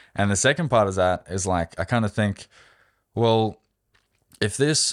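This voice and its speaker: A man speaks with an Australian accent at a moderate pace. The recording is very clean, with a silent background. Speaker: amateur marathon runner. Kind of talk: interview.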